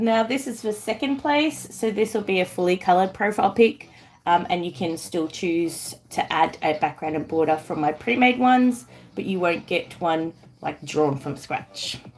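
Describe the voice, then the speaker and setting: On a very clean recording with a silent background, a woman speaks at a medium pitch and a moderate pace. Her Australian accent comes with very wide pitch swings. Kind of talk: casual streamer.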